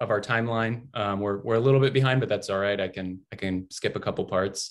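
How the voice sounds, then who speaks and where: With an American accent, a man speaks at a fairly low pitch and fairly even intonation over a quiet background. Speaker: digital interactive designer. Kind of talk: online workshop presentation. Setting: video call. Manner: fast; halting, many fillers.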